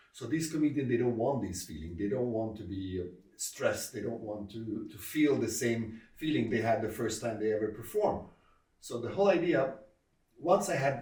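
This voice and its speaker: Audible room echo surrounds a man speaking with an Arabic accent at a medium pitch. He talks at a fairly quick pace with lively intonation. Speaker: comedy club founder and comedian. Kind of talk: interview. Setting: sit-down interview. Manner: hesitant, with frequent fillers.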